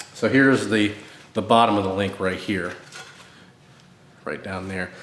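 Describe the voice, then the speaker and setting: With audible room echo around him, a man speaks in a fairly even intonation. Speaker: DIY car repair videomaker. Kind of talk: tutorial. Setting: cold home garage. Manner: casual, halting with fillers.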